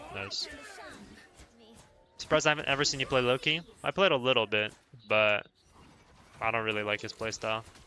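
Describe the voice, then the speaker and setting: Over music in the background, a man at medium pitch talks at a fairly quick pace with ordinary pitch variation and long, frequent pauses. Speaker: game streamer. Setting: live gameplay stream. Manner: repeats calls rapidly during play.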